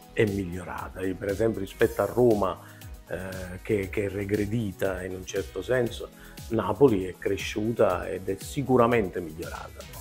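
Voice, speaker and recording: Fairly slow speech in a Neapolitan accent, with faint music in the background. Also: man. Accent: Neapolitan Italian. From Naples, Italy. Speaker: comic actor. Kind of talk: interview answer. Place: home room. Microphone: lapel.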